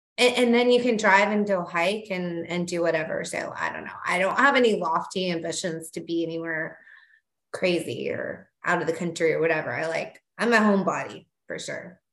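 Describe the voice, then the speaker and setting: Moderate pace and ordinary pitch variation amid audible room echo. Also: woman, medium pitch for a woman. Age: 40s. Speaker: parenting website owner. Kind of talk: casual chat. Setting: video call.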